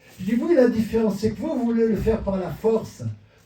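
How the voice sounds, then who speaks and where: A man is speaking with audible room echo. Noticeable background noise is also present. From southern France, Marseille. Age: 70s. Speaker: pastor. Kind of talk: sermon.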